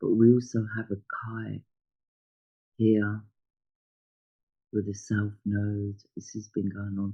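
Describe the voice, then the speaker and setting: Speaking at a very slow pace with long, frequent pauses, a man uses a fairly low pitch and a dark, mellow, somewhat breathy tone, with monotone, flat intonation and big swings in loudness. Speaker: astrologer. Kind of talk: astrology chart talk. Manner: hesitant, many fillers.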